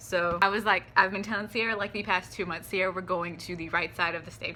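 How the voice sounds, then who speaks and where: A woman's animated, bright and sharp voice at a medium pitch. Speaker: vlogger. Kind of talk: casual chat. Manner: fast.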